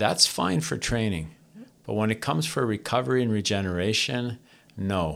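A man with a Canadian accent talks at a moderate pace in a bright, sharp tone. The recording is very clean, with a silent background. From Canada, Toronto. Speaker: stretch therapist, technique founder. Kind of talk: interview.

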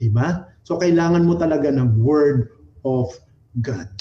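Using ordinary pitch variation, a man talks at a fairly slow pace in a warm tone. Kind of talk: sermon. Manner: animated, exhortative, call-and-response; warm, conversational, Taglish.

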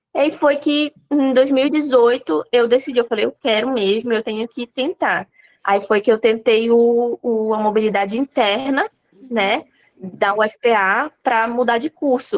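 High-pitched female voice with ordinary pitch variation. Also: dry, close sound with no echo. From Pará, Brazil (interior, Abaetetuba). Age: 20s. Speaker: nutritionist and medical student. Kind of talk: interview.

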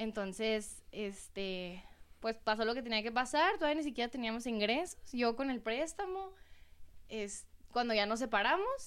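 A woman speaks in a normal speaking voice at a fairly high pitch. Her pace is fairly slow, with lively intonation. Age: 20s. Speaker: dessert shop owner. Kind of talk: casual interview chat.

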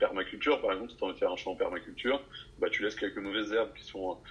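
A man talks over noticeable background noise. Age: 20s. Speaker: life coach. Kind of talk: casual interview.

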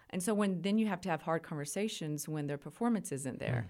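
Over a silent background in a very clean recording, a woman with a West Texas accent speaks with lively intonation. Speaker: university administrator. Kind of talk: interview.

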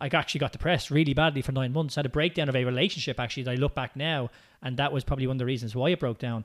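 Speaking at a very fast pace, a man has an Irish accent. His medium pitch keeps a fairly even intonation. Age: 30s. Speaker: movement coach and business owner. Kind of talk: casual interview chat.

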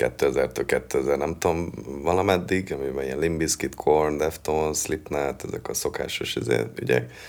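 Noticeable background noise accompanies a man speaking. He keeps a moderate pace with hardly any pauses. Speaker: metal singer and songwriter. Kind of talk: interview.

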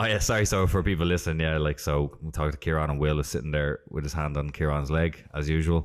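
A man speaks at a very fast pace with hardly any pauses. His pitch is very deep and low, and his intonation stays fairly even. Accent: Irish. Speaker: podcast host. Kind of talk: casual interview. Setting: in person at a gym.

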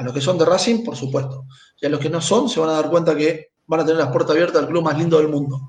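Very fast speech from a man with a fairly high pitch and ordinary pitch variation, plus audible room echo. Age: 40s. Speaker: football club presidential candidate. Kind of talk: interview.

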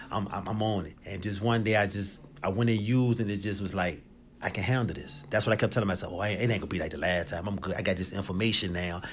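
Room echo is audible as a man with an American accent talks very fast. His pitch sits fairly low. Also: fairly even intonation. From Richmond, Virginia. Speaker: former prisoner in recovery. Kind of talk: testimony.

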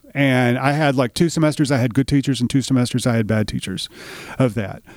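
A man with a Tennessee accent speaks at a medium pitch with ordinary pitch variation. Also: very clean recording, silent background. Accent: Southern US (Tennessee). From Middle Tennessee, US South. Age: 50s. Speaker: writer, filmmaker and musician. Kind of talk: casual interview. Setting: on-location recording studio.

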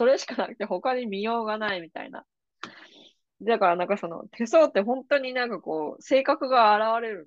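A woman speaks at a fairly quick pace with lively intonation in an ordinary speaking voice. Her pitch sits fairly high, and her loudness swings widely. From Japan, Kanagawa. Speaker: podcast host and psychic reader. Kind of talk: casual interview chat.

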